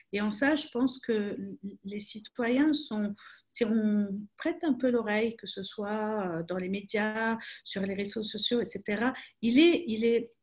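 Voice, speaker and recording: Somewhat breathy and fairly high-pitched, a woman talks at a very slow pace with ordinary pitch variation. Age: 30s. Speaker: crisis communication expert. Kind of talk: webinar talk. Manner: hesitant, many repetitions.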